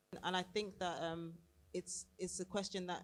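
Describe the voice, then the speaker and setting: The woman's voice is fairly low in pitch, with vocal fry. She keeps a moderate pace and a monotone, flat intonation. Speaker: music video professional. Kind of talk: panel discussion. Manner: emphatic.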